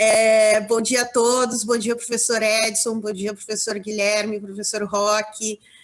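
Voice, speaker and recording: A woman talks at a fairly slow pace. Her voice is fairly high. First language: Portuguese (speaking Spanish). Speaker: law professor. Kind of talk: academic Q&A question. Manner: halting.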